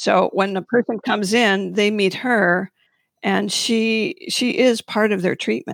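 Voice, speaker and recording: A normal speaking voice moves at a fairly slow pace with ordinary pitch variation. The sound is dry and close with no echo, and the loudness stays very even. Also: woman, medium pitch for a woman. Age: 60s. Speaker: acupuncturist. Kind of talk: panel discussion about acupuncture practice.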